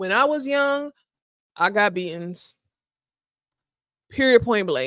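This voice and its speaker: Very wide pitch swings mark this very slow delivery, broken up by long, frequent pauses. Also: woman, fairly high pitch for a woman. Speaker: podcast host. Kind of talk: casual chat.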